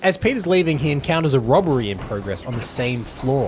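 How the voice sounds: Intonation rises and falls in a lively way. The speaker uses a natural reading voice.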